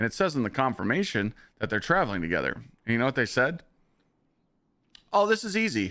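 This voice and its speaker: Talking at a very fast pace with long, frequent pauses, a man with a medium pitch, a bright, sharp tone, vocal fry and very wide pitch swings is heard on a very clean recording with a silent background. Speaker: gaming live streamer. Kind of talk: casual live stream chat. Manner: animated storytelling.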